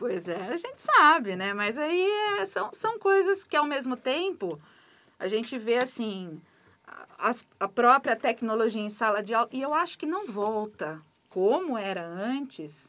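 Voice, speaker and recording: A woman's fairly high, bright, sharp voice with very wide pitch swings. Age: 40s. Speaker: school principal. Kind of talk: interview.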